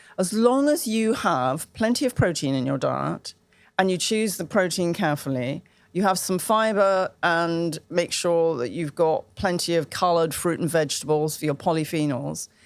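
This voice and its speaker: In a British accent, a woman speaks at a moderate pace with a fairly low pitch and lively intonation on a very clean recording with a silent background. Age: 70s. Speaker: women's health advocate and menopause expert. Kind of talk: interview conversation. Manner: animated.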